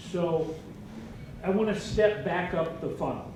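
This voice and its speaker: In a room with audible echo and noticeable background noise, a man speaks with ordinary pitch variation. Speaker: audience member asking a question. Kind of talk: audience question. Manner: loud.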